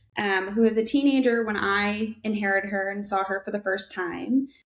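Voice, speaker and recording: This woman talks at a fairly quick pace with an American accent. Her pitch is fairly high. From Minnesota, US Midwest. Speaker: audiologist and researcher. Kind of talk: podcast interview.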